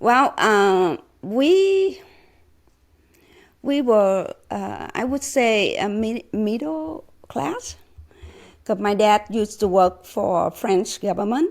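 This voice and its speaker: Very slowly and with long, frequent pauses, a woman talks at a fairly high pitch with lively intonation. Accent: Vietnamese. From Vietnam, Saigon. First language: Vietnamese. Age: 60s. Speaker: former refugee. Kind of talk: interview. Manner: halting, many fillers.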